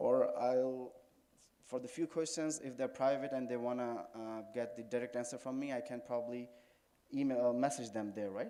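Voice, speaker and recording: Amid audible room echo, a man with a Pakistani accent speaks at a fairly quick pace and medium pitch, his tone dark and mellow. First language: Urdu. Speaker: Shia cleric, religious speaker. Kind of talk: religious lecture. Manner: halting.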